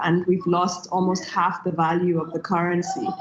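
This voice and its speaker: A woman is speaking at a medium pitch. She talks in a German accent. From Nigeria. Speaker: tech entrepreneur. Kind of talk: panel discussion.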